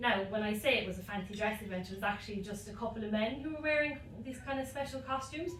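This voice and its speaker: Amid noticeable background noise and audible room echo, a woman speaks at a very fast pace and a fairly high pitch, with ordinary pitch variation. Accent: Limerick. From Ireland, Limerick. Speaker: stand-up comedian. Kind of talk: stand-up. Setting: stage with audience. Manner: hesitant, many ums.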